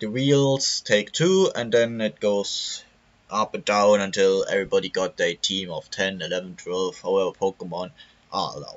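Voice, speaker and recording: The speaker is a man with a German accent. He keeps a moderate pace. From Germany. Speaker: gaming YouTuber. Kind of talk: tutorial. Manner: halting.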